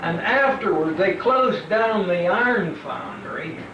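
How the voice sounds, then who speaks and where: Against noticeable background noise and audible room echo, a man with an American accent speaks at a very slow pace with ordinary pitch variation. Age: 80s+. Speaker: family genealogist. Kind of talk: casual chat. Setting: family reunion. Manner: halting.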